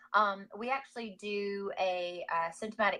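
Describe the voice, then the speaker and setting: A woman speaks in a Georgia accent. Her pitch is medium and her intonation fairly even. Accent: Southern (Georgia). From US South, Georgia (Gainesville). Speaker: wellness business owner. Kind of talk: interview. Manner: hesitant, many fillers.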